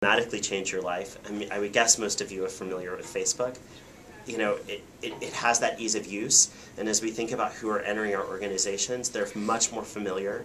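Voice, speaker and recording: The delivery is monotone and flat at a very fast pace. Noticeable background noise sits under the speech. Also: man, fairly low pitch for a man. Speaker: corporate PR professional. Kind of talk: talk to a small audience. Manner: many fillers (um).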